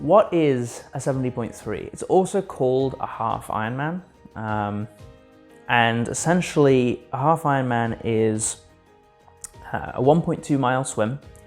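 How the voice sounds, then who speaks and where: Over music in the background, a man with a medium-pitched voice speaks at a fairly slow pace with ordinary pitch variation. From North East England. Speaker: student triathlete. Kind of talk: interview answer.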